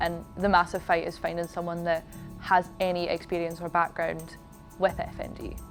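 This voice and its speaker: A woman at a moderate pace, fairly low in pitch, flat and monotone in intonation, with music in the background. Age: young. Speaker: dance student and competitive figure skater. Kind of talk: interview answer. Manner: casual.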